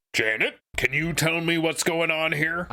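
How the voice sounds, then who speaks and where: A man does a put-on character voice with a stern tone and a fairly high pitch. He keeps a moderate pace and fairly even intonation. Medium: actual play. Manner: stern, authoritative.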